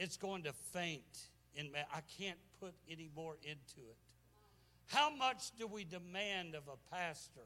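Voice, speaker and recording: A high-pitched man's voice with a bright, sharp tone carries lively intonation. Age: 70s. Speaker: guest preacher. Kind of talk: sermon. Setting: church. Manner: animated.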